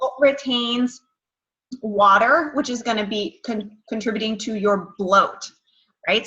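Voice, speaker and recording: A raised, projected voice at a moderate pace with ordinary pitch variation. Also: woman. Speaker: nutrition coach. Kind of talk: online workshop.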